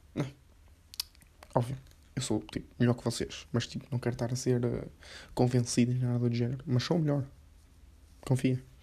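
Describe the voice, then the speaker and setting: Dark and mellow in tone, a man at a medium pitch talks at a fairly quick pace in a monotone, flat intonation, somewhat breathy, with long, frequent pauses. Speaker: podcaster. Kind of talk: casual monologue.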